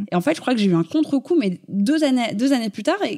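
A woman's dark, mellow tone at a very fast pace, with lively intonation and a dry, close sound with no echo. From Paris, France. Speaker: fashion blogger. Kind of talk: interview.

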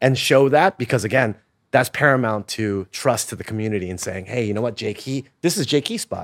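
An ordinary speaking voice from a man at medium pitch, fairly quick pace and ordinary pitch variation, with a dry, close sound with no echo and a very clean recording against a silent background. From Los Angeles. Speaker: digital media entrepreneur. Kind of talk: casual chat.

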